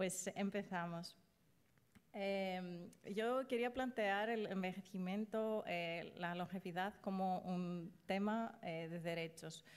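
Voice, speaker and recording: Speaking very slowly with a non-native accent, a woman keeps her intonation fairly even. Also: medium pitch for a woman. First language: not Spanish (speaking Spanish). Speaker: invited speaker on ageing and human rights. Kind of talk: lecture. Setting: stage with audience. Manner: halting.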